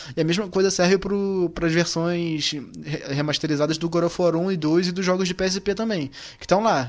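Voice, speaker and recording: A man with a high pitch talks at a moderate pace, his intonation fairly even. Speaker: podcast host. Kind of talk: casual chat.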